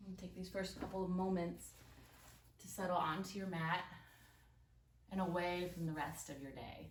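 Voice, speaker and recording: Fairly low pitch from a woman, flat and monotone, with long, frequent pauses and audible room echo. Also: moderate pace. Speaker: yoga instructor. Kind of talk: guided yoga class. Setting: home recording early morning.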